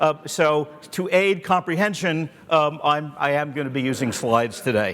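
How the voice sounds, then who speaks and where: With an American accent, the speaker keeps a moderate pace and ordinary pitch variation. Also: man. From USA. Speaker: angel investor, keynote speaker. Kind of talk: conference keynote.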